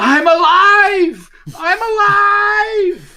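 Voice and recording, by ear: The voice is a put-on character pitched extremely high.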